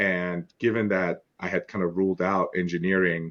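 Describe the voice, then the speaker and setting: A non-native accent can be heard. The speech moves at a moderate pace. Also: man, quiet background. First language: not English. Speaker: lawyer. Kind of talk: interview. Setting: podcast interview.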